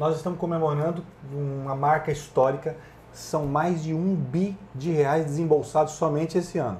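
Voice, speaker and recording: A man with a fairly high pitch and a dark, mellow tone, fairly even intonation, a moderate pace, and light background noise. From Brazil, Paraná. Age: 40s. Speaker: bank executive. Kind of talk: interview. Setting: studio at agricultural fair. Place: studio. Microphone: lapel.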